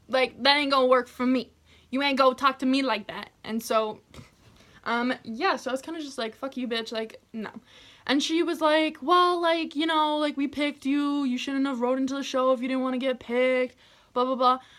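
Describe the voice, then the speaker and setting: A loud, animated woman at a moderate pace, her pitch high. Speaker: YouTuber telling personal stories. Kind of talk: storytime vlog.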